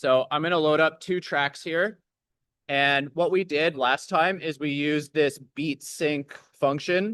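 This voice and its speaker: A man with a fairly high pitch talks at a fairly slow pace with fairly even intonation, the sound dry and close with no echo against a quiet background. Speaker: DJ workshop instructor. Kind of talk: tutorial. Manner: loud.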